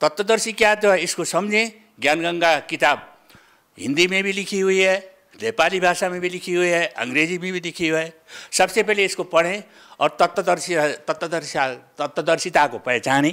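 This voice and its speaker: A man's high-pitched voice has a bright, sharp tone. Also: ordinary pitch variation. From Nepal. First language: Nepali (speaking Hindi). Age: 70s. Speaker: religious follower. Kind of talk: interview testimony. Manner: halting.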